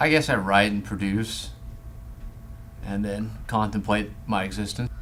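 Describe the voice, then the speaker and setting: With an American accent, a man talks at a fairly slow pace in a fairly low voice with vocal fry and ordinary pitch variation, amid audible room echo. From South Carolina. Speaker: actor and writer. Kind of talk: casual chat.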